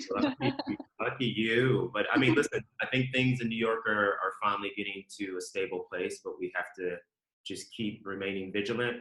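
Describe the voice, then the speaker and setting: With an American accent, a man talks at a moderate pace. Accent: slight Southern accent at times. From Ohio, US Midwest, Southern family. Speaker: fashion executive. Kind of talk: podcast interview. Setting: remote call.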